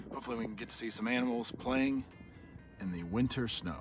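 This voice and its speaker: Over faint background music, a man talks at a very fast pace with ordinary pitch variation, the sound dry with no echo. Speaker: travel vlogger. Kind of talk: casual vlog chat. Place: open country. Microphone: phone near.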